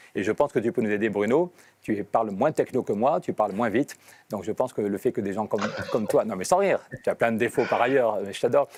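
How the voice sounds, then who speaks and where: Recorded dry and close with no echo, a man talks very fast with lively intonation. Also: medium pitch for a man. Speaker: politician on hunger strike. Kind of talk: live video interview. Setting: European Parliament building.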